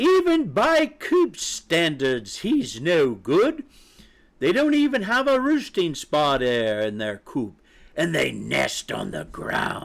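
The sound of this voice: Putting on a character voice, a man talks slowly at fairly high pitch, with big pitch swings and vocal fry.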